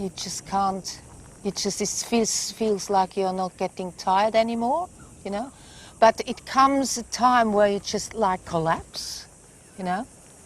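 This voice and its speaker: A woman's medium pitch shows ordinary pitch variation as she talks at a fairly slow speed. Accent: Swiss. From Switzerland. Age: 60s. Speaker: wildlife carer and camp owner. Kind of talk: interview. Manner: halting, with repetitions.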